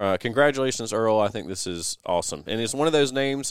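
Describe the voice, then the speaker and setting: A man with a Southern US accent, fairly quick in pace, with ordinary pitch variation. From US South. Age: 30s. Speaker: parks and recreation director. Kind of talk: casual chat. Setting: studio.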